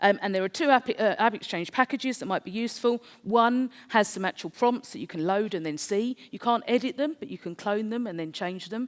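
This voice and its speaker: Speaking with a South East London accent, a woman talks fairly quickly at a fairly high pitch with lively intonation. Her loudness swings widely, and the sound is dry and close with no echo. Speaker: conference speaker. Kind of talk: presentation.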